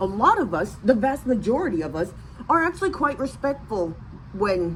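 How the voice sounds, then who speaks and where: An animated tone with very wide pitch swings and an American accent, over noticeable background noise. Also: woman, fairly high pitch for a woman, moderate pace. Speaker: vlogger. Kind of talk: casual rant to camera. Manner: animated, halting with many restarts.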